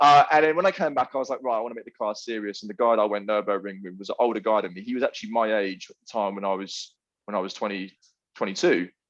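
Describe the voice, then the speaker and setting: The man speaks very fast. His volume swings widely from loud to soft. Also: fairly low pitch for a man, ordinary pitch variation. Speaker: car enthusiast. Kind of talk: casual chat.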